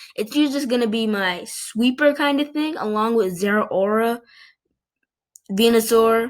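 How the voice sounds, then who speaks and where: Against a very clean, silent background, a woman with a fairly high pitch and ordinary pitch variation talks at a moderate pace. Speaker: video game player. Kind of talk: casual gaming commentary. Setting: computer microphone.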